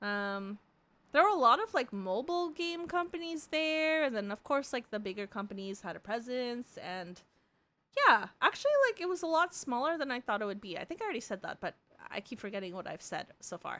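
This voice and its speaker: A woman speaks loudly in a high, animated voice. Her pitch swings very widely. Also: fairly quick pace. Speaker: vtuber streamer. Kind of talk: casual live stream chat. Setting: live stream. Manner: animated, rambling pace.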